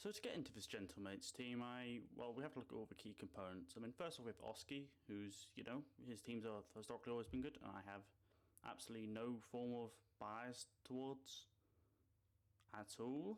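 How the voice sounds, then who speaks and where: In a British accent, a man talks at a fairly quick pace with a medium pitch and ordinary pitch variation. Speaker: esports commentator YouTuber. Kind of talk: casual commentary. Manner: animated.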